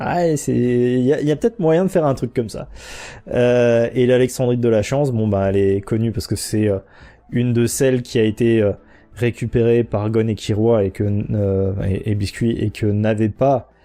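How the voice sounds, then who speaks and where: Dark and mellow, a man's medium-pitched voice moves at a moderate pace with ordinary pitch variation. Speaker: podcast host. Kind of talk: casual explanatory monologue. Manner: hesitant, many fillers.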